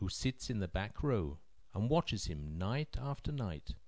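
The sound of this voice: A voice reads in an unforced way.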